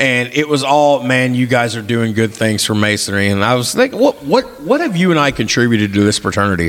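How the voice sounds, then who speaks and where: With a Southern Indiana accent, a man speaks at a fairly quick pace with hardly any pauses. His medium pitch shows ordinary variation, and his loudness stays very even. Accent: Southern Indiana twang. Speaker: podcast host. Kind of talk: casual chat.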